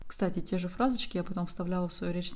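Audible room echo surrounds a woman's somewhat breathy, dark, mellow voice, pitched medium with fairly even intonation. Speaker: language teacher and online school founder. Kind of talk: solo podcast monologue.

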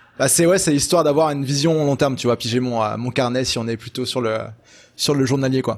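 A man has a plain, everyday voice with fairly high pitch and ordinary pitch variation. The recording is very clean with a silent background. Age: 20s. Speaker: web entrepreneur and consultant. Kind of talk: casual interview chat.

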